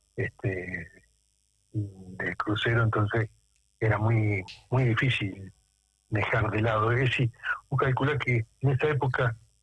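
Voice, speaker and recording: A man at a medium pitch talks at a fairly slow pace with long, frequent pauses, very even loudness and fairly even intonation. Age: 60s. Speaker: war veteran. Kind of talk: radio interview. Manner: halting.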